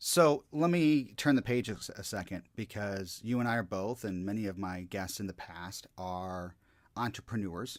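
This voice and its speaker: An ordinary speaking voice moves at a moderate pace with lively intonation and big swings in loudness, captured on a very clean recording with a silent background. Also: man, fairly low pitch for a man. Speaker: motivational speaker and hypnotist. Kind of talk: podcast interview host.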